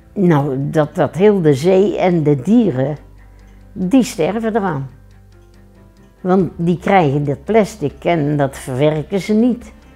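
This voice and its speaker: Faint music plays in the background as the speech moves at a very slow pace with long, frequent pauses. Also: woman, fairly low pitch for a woman. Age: 80s+. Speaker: local resident interviewee. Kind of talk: interview answer. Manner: casual, plain-spoken. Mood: earnest, matter-of-fact. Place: home room. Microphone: lapel.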